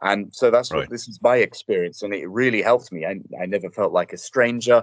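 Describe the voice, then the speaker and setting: A man talks in a London accent at a fairly quick pace. The sound is dry and close, with no echo. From England, North London. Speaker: TV presenter. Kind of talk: casual interview.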